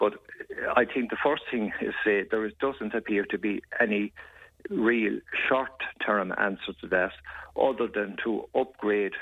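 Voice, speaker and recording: A man with an Irish accent at a moderate pace. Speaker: politician discussing health policy. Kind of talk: radio interview.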